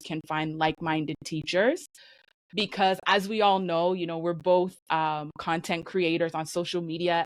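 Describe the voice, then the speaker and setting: On a very clean recording with a silent background, a woman speaks at a fairly slow pace. Hers is a plain, everyday voice, fairly low in pitch, with fairly even intonation. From Canada. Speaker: English teacher. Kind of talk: interview answer.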